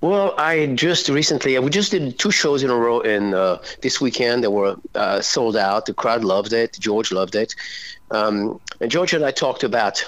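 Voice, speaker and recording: Speaking with a French accent, a man at medium pitch keeps a moderate pace, very even loudness and lively intonation. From France. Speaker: rock singer. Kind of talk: interview.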